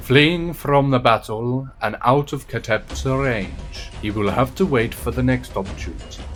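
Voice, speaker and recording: Over music in the background, a man speaks at a fairly slow pace in an enthusiastic, dramatic tone with very wide pitch swings. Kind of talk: dramatised game lore narration.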